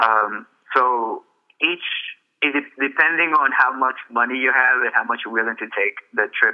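This man speaks with a Spanish accent. His pace is fairly slow. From El Salvador, then California from age nine. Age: 20s. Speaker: author. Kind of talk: radio interview.

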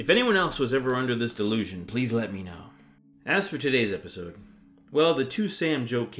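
A natural reading voice carries lively intonation throughout.

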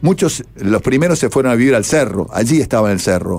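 Speaking at a moderate pace with a Uruguayan accent, a man of medium pitch makes very wide pitch swings. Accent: Rioplatense Spanish (Uruguayan). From Uruguay, Montevideo. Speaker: radio broadcaster. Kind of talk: interview.

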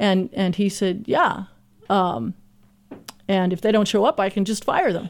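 Speaking at a fairly slow pace with long, frequent pauses, a woman uses a medium pitch and lively intonation. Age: 50s. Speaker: culture coach. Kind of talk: interview.

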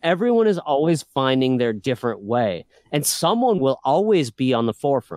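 Recorded dry and close with no echo, a man at medium pitch talks at a moderate pace, his pitch swinging very widely while his loudness stays very even. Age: 30s. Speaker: independent filmmaker. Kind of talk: casual chat.

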